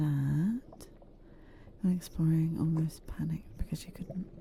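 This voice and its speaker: The voice is soft-spoken with a calm tone. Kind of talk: casual gaming commentary to viewers. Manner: soft-spoken, calm.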